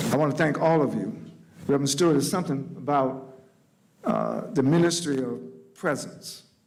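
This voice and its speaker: Audible room echo around a man's fairly high voice with ordinary pitch variation, a moderate pace and long, frequent pauses. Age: 70s. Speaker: panel moderator, civil rights veteran. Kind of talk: public panel opening remarks.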